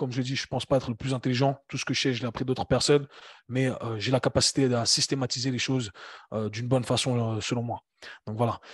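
At a very fast pace, a somewhat breathy man speaks with fairly even intonation in a dry, close sound with no echo and a quiet background. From Switzerland, Geneva. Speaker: fitness coach and entrepreneur. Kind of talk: casual interview conversation.

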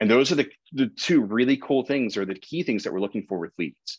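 With lively intonation, a man talks at a moderate pace. The sound is dry with no echo, and the background is quiet. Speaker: real estate marketing instructor. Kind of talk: lecture. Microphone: webcam.

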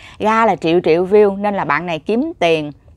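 Lively intonation carries a moderate pace, with a dry sound with no echo over a quiet background. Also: woman. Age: 30s. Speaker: YouTuber vlogger. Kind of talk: casual vlog monologue. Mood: reflective, earnest. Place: home room. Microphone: lapel.

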